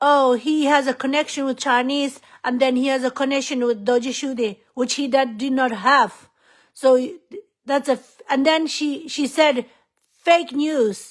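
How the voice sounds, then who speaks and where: Her voice high, a woman speaks at a fairly slow pace with fairly even intonation. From Tibetan refugee community. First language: Tibetan. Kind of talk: impassioned public appeal. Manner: emotional, pleading.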